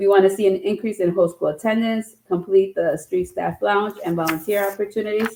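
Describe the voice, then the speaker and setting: The pace is fairly quick, with hardly any pauses. Intonation stays fairly even. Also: woman, medium pitch for a woman. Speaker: school principal. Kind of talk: meeting report. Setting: school council meeting. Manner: fast.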